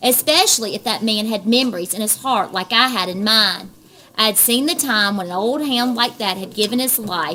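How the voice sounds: With ordinary pitch variation, the text is delivered in a natural reading voice.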